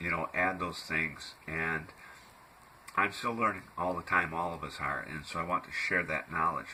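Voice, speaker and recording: A man with a very deep, low pitch and fairly even intonation, at a fairly slow pace with long, frequent pauses. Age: 60s. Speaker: health food blogger. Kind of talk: casual monologue. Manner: hesitant, many fillers.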